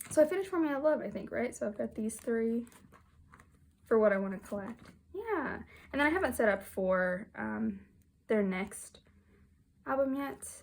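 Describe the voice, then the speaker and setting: Speaking with long, frequent pauses, a woman's somewhat breathy, fairly high voice moves through very wide pitch swings. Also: moderate pace. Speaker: kpop photocard collector vlogger. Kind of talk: casual chat.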